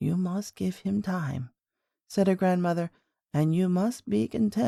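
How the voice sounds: A natural reading voice, lively intonation, and a quiet background.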